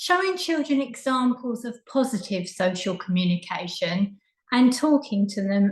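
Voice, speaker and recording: Speaking in an Essex accent, a woman talks fairly slowly at a fairly high pitch with lively intonation. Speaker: childminder and early years trainer. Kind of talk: presentation talk.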